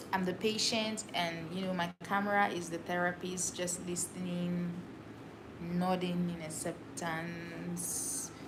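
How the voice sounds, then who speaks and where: Audible room echo surrounds a woman speaking at a fairly slow pace in a fairly low pitch. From Cameroon, Douala. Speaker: livestreamer. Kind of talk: casual solo livestream talk. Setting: livestream to camera.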